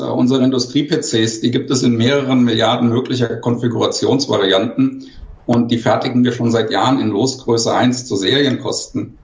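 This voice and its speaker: A man with a somewhat breathy voice speaks at a moderate pace and medium pitch in a flat monotone, with audible room echo. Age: 50s. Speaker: industry education manager. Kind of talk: panel discussion. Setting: remote video call. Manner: formal.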